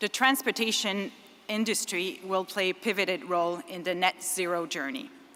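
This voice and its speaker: A woman with a Quebec accent, a bright, sharp tone, a moderate pace and ordinary pitch variation. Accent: French Canadian accent in English. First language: French. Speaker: engineering firm executive, conference speaker. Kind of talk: conference speech. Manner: halting, with self-corrections.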